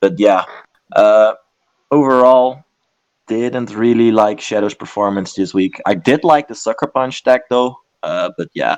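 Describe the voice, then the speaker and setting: Pausing long and often, a man speaks at a fairly slow pace in a medium pitch with ordinary pitch variation. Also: dry, close sound with no echo. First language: not English. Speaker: esports commentator. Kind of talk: casual analysis chat. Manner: hesitant, many fillers.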